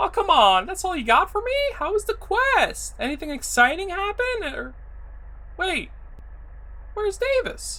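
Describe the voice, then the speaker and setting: A woman performs a squeaky put-on character voice at an extremely high pitch, with very wide pitch swings. She talks at a moderate pace with long, frequent pauses. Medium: audio drama. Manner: curt, irritable.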